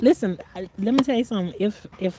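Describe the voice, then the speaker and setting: The sound is dry and close, with no echo. A woman speaks at a medium pitch and a fairly quick pace. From North Carolina, rural. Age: 60s. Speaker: gardening vlogger. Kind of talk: casual livestream chat reading comments. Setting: outdoors in the garden. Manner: rambling, conversational.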